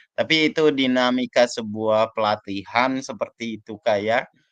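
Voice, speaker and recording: Speaking at a fairly slow pace, a man talks. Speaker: teacher training facilitator. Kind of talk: video call reflection session.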